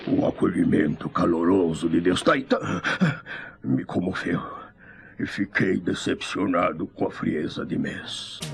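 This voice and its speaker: In a put-on character voice, the delivery comes at a fairly slow pace with long, frequent pauses. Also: man, very deep, low pitch for a man. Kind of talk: dramatic dubbing villain. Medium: fan dub.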